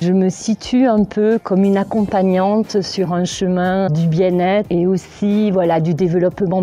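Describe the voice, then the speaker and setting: Speaking at a very slow pace, a woman with a southwestern French accent keeps her medium pitch in fairly even intonation. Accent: southwest French. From southwest France. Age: 50s. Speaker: massage practitioner and sophrologist. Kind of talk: interview testimony. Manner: hesitant, with frequent fillers.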